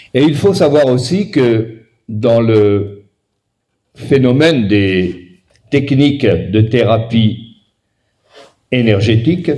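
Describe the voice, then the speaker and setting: A man's dark, mellow tone with lively intonation and very even loudness, at a very slow pace full of long, frequent pauses, with audible room echo. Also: medium pitch for a man. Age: 70s. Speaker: bishop and magnetism practitioner giving a talk. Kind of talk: lecture. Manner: slow, in short phrases paused for interpreter.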